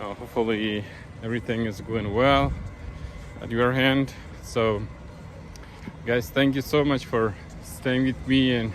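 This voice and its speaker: This man speaks at a fairly slow pace with a non-native accent. His pitch varies in an ordinary way, and he leaves long, frequent pauses. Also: medium pitch for a man. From Afghanistan. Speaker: vlogger. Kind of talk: casual talk to camera.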